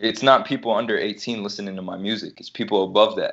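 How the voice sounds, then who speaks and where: A man speaks with an American accent in an unremarkable speaking voice. His pitch is fairly low and his pace is moderate. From Detroit. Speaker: rapper. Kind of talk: casual chat.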